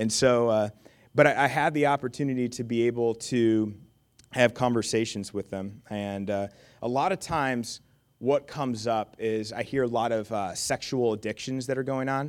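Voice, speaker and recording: Moderately paced speech comes through on a very clean recording with a silent background. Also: man, medium pitch for a man. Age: 20s. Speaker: pastor. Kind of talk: sermon. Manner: halting.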